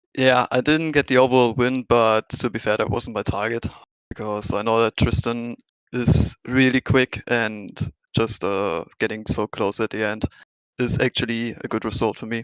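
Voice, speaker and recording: A man speaks with a German accent and fairly even intonation. The sound is dry and close, with no echo. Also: medium pitch for a man, moderate pace. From Germany. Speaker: sim racing driver. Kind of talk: post-race interview.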